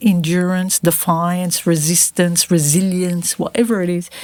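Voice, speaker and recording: A woman at a very slow pace, her pitch in the medium range. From grew up between Lebanon and Australia. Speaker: activist, entrepreneur and author. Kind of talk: podcast interview answer.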